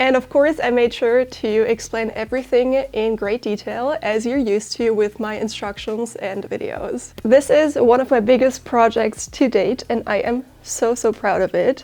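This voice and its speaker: With noticeable background noise behind her, a woman with a German accent talks at a moderate pace in a high pitch, with fairly even intonation and hardly any pauses. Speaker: sewing content creator and author. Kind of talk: self-promotion; sewing tutorial.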